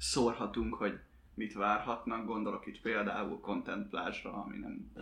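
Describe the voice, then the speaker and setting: Vocal fry runs through a man's medium-pitched voice, delivered in a monotone, flat intonation. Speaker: podcast host. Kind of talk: casual panel discussion, podcast.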